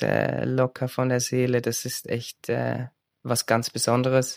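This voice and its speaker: The voice sounds dry and close with no echo, its intonation monotone and flat. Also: man. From Switzerland. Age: 30s. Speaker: singer-songwriter and former elite gymnast. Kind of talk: self-interview, answering own questions.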